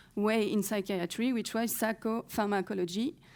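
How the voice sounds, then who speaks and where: A woman with a French accent, medium pitch, fairly even intonation and a fairly slow pace, her tone dark and mellow on a very clean recording with a silent background. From France. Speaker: historian researcher. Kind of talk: conference talk. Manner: halting, with many fillers.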